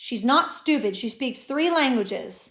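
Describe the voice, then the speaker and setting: Doing a put-on character voice, a woman mumbles in a high, raspy pitch at a moderate pace, in a very clean recording with a silent background. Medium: read story. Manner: mumbling, defensive.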